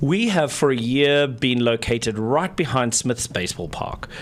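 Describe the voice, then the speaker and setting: A man speaks with a South African accent and ordinary pitch variation. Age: 40s. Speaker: nonprofit executive director. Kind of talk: radio interview. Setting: radio studio.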